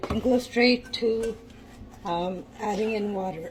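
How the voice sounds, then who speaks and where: Over background music, a woman speaks at a fairly high pitch with ordinary pitch variation. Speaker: home cook. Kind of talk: cooking tutorial. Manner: casual, hesitant with fillers.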